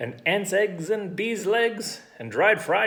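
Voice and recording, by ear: The speaker is reading aloud in a natural voice, and the pitch variation is ordinary.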